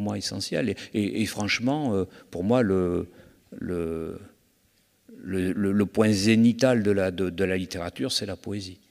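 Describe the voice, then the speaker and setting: This man talks at a very slow pace, his fairly low pitch moving with ordinary variation. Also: quiet background. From France, Bordeaux region; France. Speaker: crime novelist; guest. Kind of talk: literary festival interview. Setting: stage with audience. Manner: halting, many repetitions. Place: stage. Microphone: handheld.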